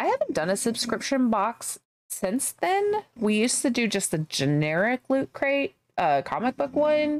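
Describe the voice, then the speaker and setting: With a slight Southern US accent, a woman speaks at a fairly slow pace and a high pitch, making very wide pitch swings at very even loudness in a dry, close sound with no echo. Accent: slight Southern twang. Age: 30s. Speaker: gaming streamer. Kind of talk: casual chat. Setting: live stream.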